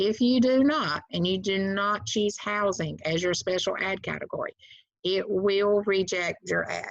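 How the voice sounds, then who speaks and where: In a Southern US accent, a woman speaks at a fairly slow pace and medium pitch with ordinary pitch variation, the sound dry with no echo against a quiet background. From US South. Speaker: real estate agent and trainer; trainer. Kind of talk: tutorial. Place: home room. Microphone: webcam.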